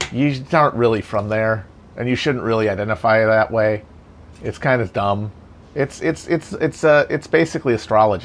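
A man with an American accent talks at a moderate pace and medium pitch. His is a plain, everyday voice with ordinary pitch variation. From Wisconsin. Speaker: political podcast host. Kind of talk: casual chat.

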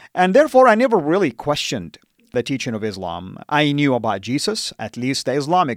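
A man with an Arabic accent talks at a moderate pace, the sound dry and close with no echo. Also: very clean recording, silent background. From Saudi Arabia (Jeddah). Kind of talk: interview testimony. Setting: studio.

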